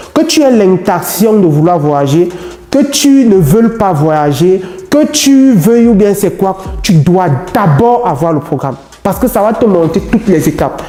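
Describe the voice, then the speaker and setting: With music playing in the background, a man speaks at a high pitch and swings it very widely. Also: fairly slow pace, very even loudness. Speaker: immigration advice youtuber. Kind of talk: vlog tutorial.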